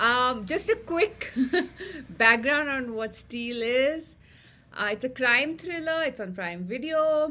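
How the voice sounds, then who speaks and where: Raised and projected, a woman's high-pitched voice with a bright, sharp tone moves at a very slow pace with lively intonation. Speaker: podcast co-host reviewing TV shows. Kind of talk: casual chat.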